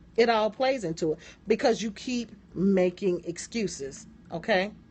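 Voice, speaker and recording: Lively in intonation, a woman speaks at a medium pitch with an American accent. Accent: southern accent, comes out at times. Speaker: motivational business coach. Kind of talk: live-stream motivational talk. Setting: live stream. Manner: animated.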